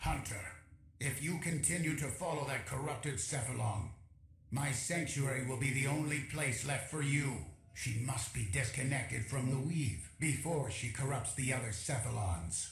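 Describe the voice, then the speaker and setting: A man speaks in a put-on character voice, with a slight echo on the recording. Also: medium pitch for a man, moderate pace. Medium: video game. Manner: stern, formal.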